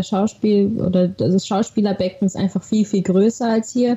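A woman talks with a somewhat breathy voice and a dark, mellow tone. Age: 20s. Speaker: actress. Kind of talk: interview conversation. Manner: animated.

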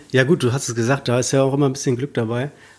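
The man's medium-pitched voice carries a monotone, flat intonation. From Berlin, Germany. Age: 20s. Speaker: field hockey player. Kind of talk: casual interview.

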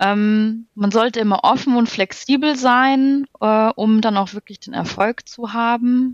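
A woman with a fairly high-pitched voice talks at a very slow pace with hardly any pauses and big swings in loudness. Her intonation is fairly even, and the sound is dry and close with no echo. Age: 30s. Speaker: project manager in construction, course participant. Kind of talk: casual interview.

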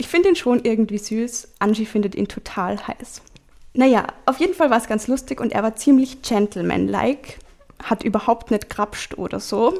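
At a fairly high pitch, this woman has an ordinary speaking voice. Her pace is moderate and her pitch variation ordinary. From Salzburg region, Austria (Hallein). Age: 20s. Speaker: diary slam participant. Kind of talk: reading aloud.

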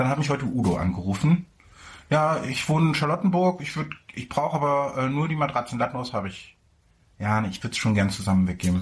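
Speaking at a very fast pace, a man with a medium pitch and a somewhat breathy voice makes very wide pitch swings. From Mecklenburg-Vorpommern, Germany. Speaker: podcast co-host. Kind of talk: casual chat. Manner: animated, laughing.

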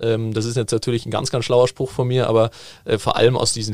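A man with a medium pitch talks at a fairly quick pace. The recording is very clean, with a silent background and a dry, close sound with no echo. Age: 20s. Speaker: football management educator. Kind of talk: casual interview.

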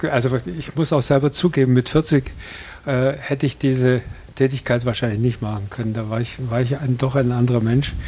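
A man's somewhat breathy, dark, mellow voice at medium pitch, fairly even in intonation and at a fairly quick pace. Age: 80s+. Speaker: hospice volunteer, retired journalist. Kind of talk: interview. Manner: hesitant, many fillers.

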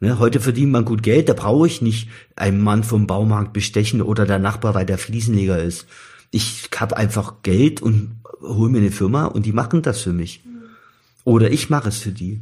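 A man speaks at a moderate pace in a fairly low, somewhat breathy voice with a dark, mellow tone and ordinary pitch variation. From Saxony, near Chemnitz. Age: 50s. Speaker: former East German expellee, electrician. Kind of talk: interview, personal testimony. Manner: halting, many fillers.

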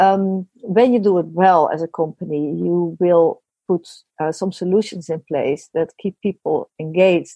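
A woman with a Dutch accent talks at a fairly slow pace, her fairly low pitch showing ordinary variation. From Netherlands. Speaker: business consultant. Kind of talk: interview.

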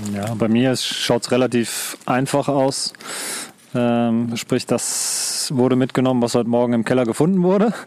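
Over noticeable background noise, a man speaks at a moderate pace and medium pitch, keeping his loudness very even and his pitch variation ordinary. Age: 40s. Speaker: outdoor hobbyist. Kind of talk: casual chat. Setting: outdoors.

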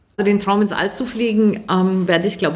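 Moderate pacing and a somewhat breathy quality from a woman. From Germany. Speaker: aerospace engineer. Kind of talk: interview.

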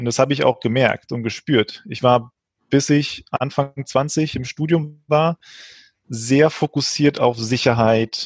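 The sound is dry and close, with no echo. Speech moves at a fairly slow pace with fairly even intonation. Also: man. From Frankfurt, Germany. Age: 20s. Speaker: financial education startup founder. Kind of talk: interview conversation. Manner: halting.

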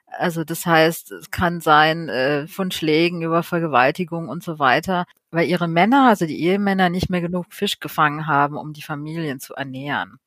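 A woman speaks at a moderate pace with a fairly low pitch. It is an unremarkable speaking voice. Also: very clean recording, silent background. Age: 30s. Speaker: marine conservation activist. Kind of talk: podcast interview.

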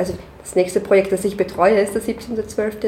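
Someone with an Austrian accent speaks at a moderate pace amid noticeable background noise. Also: woman. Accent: Austrian German, audible. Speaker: concert manager. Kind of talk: casual interview.

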